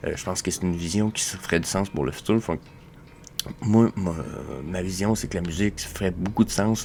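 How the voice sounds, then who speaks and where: Very deep, low pitch from a man, plus ordinary pitch variation. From Quebec. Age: 20s. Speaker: crypto collectibles show host. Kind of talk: casual solo commentary. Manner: fast; hesitant, many fillers.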